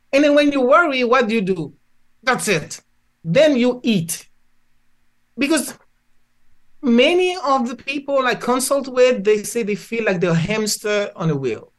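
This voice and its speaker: Speaking with a Haitian accent at a fairly slow pace, the voice swings very widely in pitch and leaves long, frequent pauses. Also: woman, high pitch for a woman. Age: 70s. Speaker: physician and spiritual healer. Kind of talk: interview.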